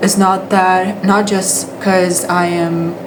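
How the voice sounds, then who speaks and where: Amid noticeable background noise and audible room echo, a woman with a Brazilian Portuguese accent speaks at medium pitch with monotone, flat intonation. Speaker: English teacher. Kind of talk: casual vlog monologue. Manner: halting, many fillers and restarts.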